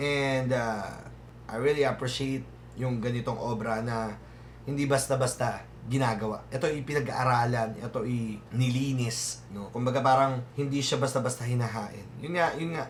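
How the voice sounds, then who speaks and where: With audible room echo, a man speaks at a moderate pace and fairly even intonation. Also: medium pitch for a man. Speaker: music reaction youtuber. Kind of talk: reaction commentary. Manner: halting, many fillers.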